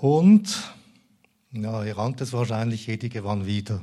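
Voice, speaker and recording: On a very clean recording with a silent background, a man with a dark, mellow, somewhat breathy tone speaks at a fairly slow pace with lively intonation. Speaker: lay preacher. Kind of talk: sermon.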